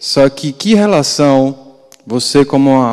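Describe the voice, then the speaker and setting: Over a quiet background, a man talks at a very slow pace in a dark, mellow tone. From Brazil. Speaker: audience member. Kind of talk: question from audience. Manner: halting. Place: hall.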